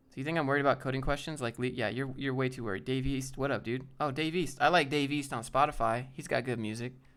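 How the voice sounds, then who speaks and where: At a very fast pace, a man talks in an animated tone at a medium pitch, on a very clean recording with a silent background. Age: 20s. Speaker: programming career youtuber. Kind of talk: live stream Q&A reading chat. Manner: casual, animated.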